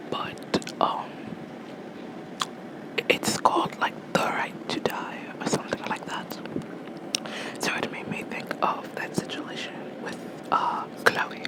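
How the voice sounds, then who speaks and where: Very slow whispering with long, frequent pauses and noticeable background noise. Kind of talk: ASMR whisper ramble about a video game; casual talk to camera. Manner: whispered.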